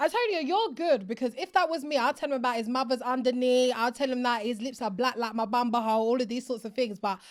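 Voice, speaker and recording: A woman's high-pitched, animated voice with an Essex accent, ordinary pitch variation, a very fast pace and hardly any pauses. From Essex, England. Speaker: podcast host. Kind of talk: casual interview.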